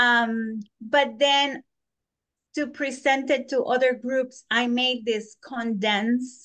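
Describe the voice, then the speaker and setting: A woman with a non-native accent speaks very slowly in a high, bright, sharp tone. Her intonation is monotone and flat, and the background is quiet. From South America. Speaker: Bible study presenter. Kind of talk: presentation.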